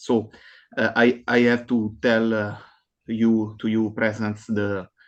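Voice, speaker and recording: A man speaks with a non-native accent at medium pitch. His pace is fairly slow. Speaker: academic conference presenter. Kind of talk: conference presentation. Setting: online video call. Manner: halting, many fillers.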